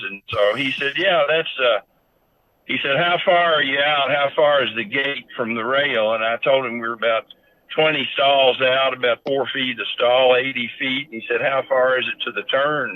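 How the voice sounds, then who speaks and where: This man talks at a moderate pace with a Kentucky accent and a medium pitch. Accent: Kentucky Southern US. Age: 70s. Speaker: horse breeder and owner. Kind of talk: interview storytelling.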